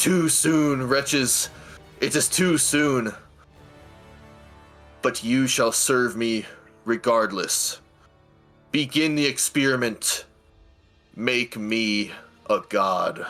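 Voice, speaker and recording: A man's bellowing, put-on character voice at medium pitch, very slow with long, frequent pauses, faint music in the background. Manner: bellowing, imperious.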